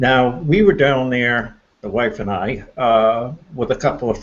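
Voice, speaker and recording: With a plain, everyday voice, a man talks at a medium pitch with ordinary pitch variation. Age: 60s. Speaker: paranormal enthusiast. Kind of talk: casual chat. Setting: live stream hangout.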